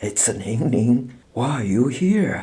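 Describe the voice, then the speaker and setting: This is a put-on character voice, raspy and soft-spoken. The intonation is lively. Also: man. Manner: soft, murmuring, familiar.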